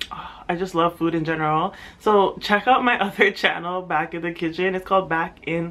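This woman's voice sits fairly low in pitch, with ordinary pitch variation. She talks at a fairly quick pace. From Ontario, Canada (Brampton), Caymanian roots; Ontario, Canada. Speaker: YouTuber. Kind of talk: casual vlog Q&A. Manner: casual, filler-heavy. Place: home room. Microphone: camera far.

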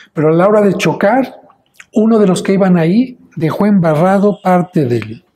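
Speaking at a moderate pace, a man uses a high pitch, lively intonation, and very even loudness. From Mexico, Mexico City; Mexico. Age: 60s. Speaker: priest. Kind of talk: interview; interview answer.

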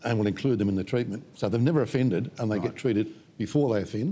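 Speaking very fast with an Australian accent, a man has a dark, mellow tone and ordinary pitch variation. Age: 70s. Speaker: psychologist and minister. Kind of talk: panel interview. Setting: studio. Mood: calm, serious explanatory. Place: studio.

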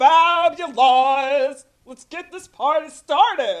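A put-on character voice speaks at a high pitch. The pace is very slow. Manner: exaggerated, theatrical.

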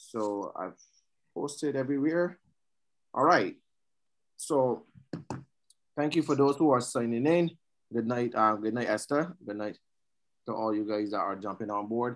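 A man with a Barbadian accent speaks at a moderate pace and medium pitch with ordinary pitch variation, pausing long and often against a quiet background. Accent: Barbadian rather than Jamaican. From Jamaica, raised in Barbados. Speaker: online show host. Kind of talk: live online panel show. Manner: hesitant, many fillers. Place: home room. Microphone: video call.

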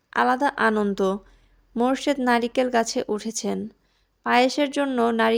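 In an unforced reading voice, the speaker reads over a quiet background.

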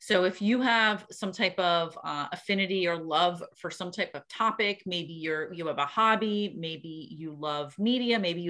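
Speaking at a moderate pace against a quiet background, a woman uses lively intonation and a bright, sharp tone. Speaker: podcast instructor answering questions. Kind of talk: interview answer. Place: home room. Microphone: video call.

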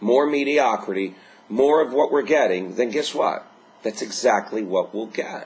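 In an upbeat tone, a man speaks at a moderate pace. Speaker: life coach. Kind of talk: motivational pep talk to camera. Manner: earnest, upbeat, exhorting; repetitive, rhetorical questions. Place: home room. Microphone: webcam.

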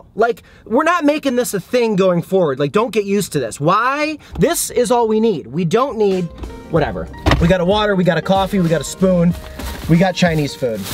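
A man talks at a fairly quick pace in a dry sound with no echo while clear music plays in the background. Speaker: food vlogger. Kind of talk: casual vlog chat. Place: car.

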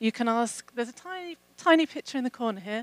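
With a southern English accent, a woman talks at a moderate pace in a dry sound with no echo. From England. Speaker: program manager. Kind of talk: conference talk. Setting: stage with audience. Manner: hesitant with fillers. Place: hall. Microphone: handheld.

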